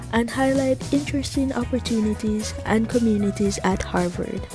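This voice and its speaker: Music plays in the background as a woman speaks. Her pace is fairly slow. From Jamaica. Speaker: podcast host, Harvard student. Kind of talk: podcast intro.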